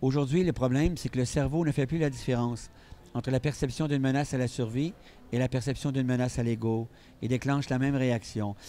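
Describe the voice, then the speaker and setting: Keeping his loudness very even and his intonation fairly even, a man with a dark, mellow tone speaks at medium pitch and a fairly quick pace. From Quebec. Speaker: psychiatrist and speaker. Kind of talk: interview.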